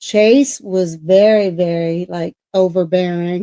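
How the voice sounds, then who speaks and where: A woman speaks with a dark, mellow tone and fairly even intonation. Her voice sounds dry and close, with no echo. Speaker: paranormal podcast co-host. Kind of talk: casual chat. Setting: live stream. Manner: loud, projecting voice; halting, repetitive.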